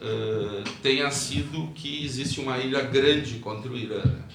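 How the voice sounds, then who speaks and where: Against noticeable background noise and audible room echo, a man speaks at medium pitch. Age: 60s. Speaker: podcast guest, traveler. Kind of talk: interview, casual explanation. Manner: hesitant, many fillers.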